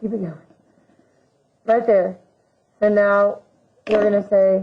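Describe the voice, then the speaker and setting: A woman's fairly slow delivery in a monotone, flat intonation. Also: medium pitch for a woman. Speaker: math teacher. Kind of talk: lecture.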